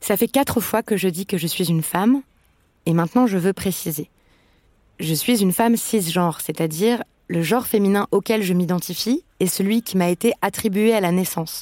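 A woman's dark, mellow voice at medium pitch and moderate pace, with ordinary pitch variation and very even loudness, in a very clean recording with a silent background and a dry, close sound with no echo. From France. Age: 30s. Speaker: podcast host. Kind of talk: scripted narration.

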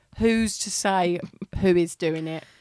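In a very clean recording with a silent background, a woman talks at a medium pitch with ordinary pitch variation. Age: 30s. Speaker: comedian. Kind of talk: casual chat. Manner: animated.

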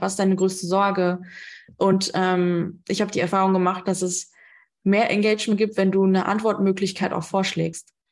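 Over a quiet background, a woman speaks at a medium pitch in a flat monotone. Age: 30s. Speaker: business coach and podcast host. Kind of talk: live talk at an online conference. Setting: online conference talk. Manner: frequent fillers (ähm).

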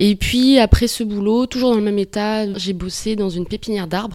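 Her intonation is fairly even. The woman talks at a moderate pace. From New Caledonia. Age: 30s. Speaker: working holiday backpacker, farm worker. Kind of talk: interview.

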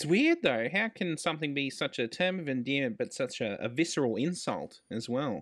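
With hardly any pauses, a man with an Australian accent talks at a moderate pace in a fairly high pitch and lively intonation, on a very clean recording with a silent background. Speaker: podcast co-host. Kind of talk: casual chat.

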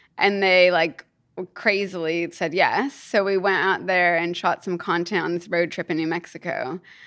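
At a medium pitch and moderate pace, a woman talks with a Kentucky accent on a very clean recording with a silent background. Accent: US Southern (Kentucky) American. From Kentucky, US. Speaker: business founder. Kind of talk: casual chat. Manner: animated.

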